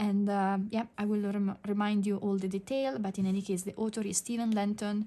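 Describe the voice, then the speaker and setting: With an Italian accent, a woman speaks at medium pitch in a monotone, flat intonation. Her tone is dark and mellow, and she leaves hardly any pauses. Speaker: digital art teacher. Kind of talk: tutorial. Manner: halting, many fillers.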